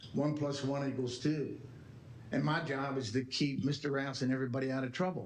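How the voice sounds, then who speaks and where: A man at medium pitch, fairly even in intonation and very even in loudness, with audible room echo. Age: 80s+. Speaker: retired attorney. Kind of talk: public talk at board meeting. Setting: board meeting. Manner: emphatic.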